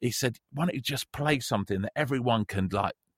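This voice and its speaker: A man's medium-pitched voice with lively intonation at a fairly quick pace, dry and close with no echo, in a very clean recording with a silent background. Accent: London. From North London. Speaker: radio presenter, teacher and football coach. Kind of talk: casual chat.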